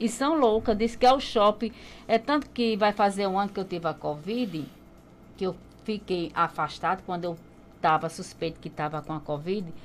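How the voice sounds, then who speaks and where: A woman with a plain, everyday voice, medium in pitch, at a moderate pace with lively intonation over light background noise. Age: 50s. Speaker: market traders' association president. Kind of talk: radio interview. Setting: radio studio. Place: studio. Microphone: studio mic.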